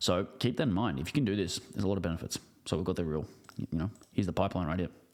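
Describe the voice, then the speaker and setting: This man talks at a very fast pace with a very deep, low pitch, ordinary pitch variation and an Australian accent. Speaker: business coach. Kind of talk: online training video. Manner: casual, with filler words.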